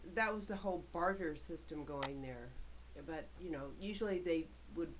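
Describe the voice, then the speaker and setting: A woman talks at a moderate pace with ordinary pitch variation and vocal fry, and audible room echo surrounds her. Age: 60s. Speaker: vlogger. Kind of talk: personal monologue. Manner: halting.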